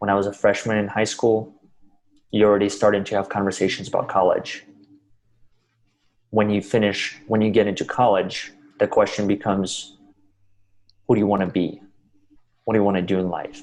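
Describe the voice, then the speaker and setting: Speaking in a Russian accent, a man keeps a fairly low, monotone, flat pitch at a fairly quick pace, broken by long, frequent pauses. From Russia, then US from age 12. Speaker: motivational speaker. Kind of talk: interview.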